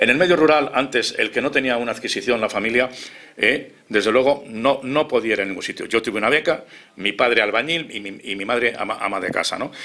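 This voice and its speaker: Bright, sharp tone from a man at medium pitch, with ordinary pitch variation and a fairly quick pace. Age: 60s. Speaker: political commentator. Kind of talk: heated debate.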